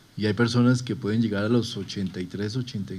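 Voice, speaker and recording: This man's voice has a dark, mellow tone. He talks at a moderate pace. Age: under 60. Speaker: health official presenting survey results. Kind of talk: presentation.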